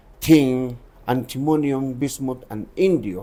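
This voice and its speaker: In a dark, mellow tone, a man speaks at medium pitch with ordinary pitch variation. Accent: Andean. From Bolivia, Cochabamba and Potosí. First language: Quechua. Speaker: tour guide and former miner. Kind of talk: interview. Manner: halting, non-fluent English.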